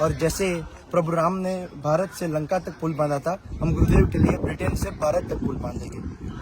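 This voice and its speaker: A man's high-pitched voice with fairly even intonation, over noticeable background noise. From India. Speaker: youth devotee volunteer. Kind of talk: interview answer.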